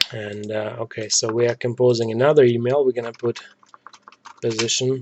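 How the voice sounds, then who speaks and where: Speaking at a fairly quick pace with a non-native accent, a man keeps a medium pitch and a monotone, flat intonation. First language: not English. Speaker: software developer tutorial maker. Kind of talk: screen-recorded coding tutorial. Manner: many filler words and hesitations.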